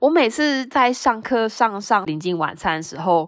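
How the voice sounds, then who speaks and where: The woman's pitch rises and falls in very wide swings, and the background stays quiet. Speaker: podcast host. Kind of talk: solo casual monologue telling jokes. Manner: light, giggly.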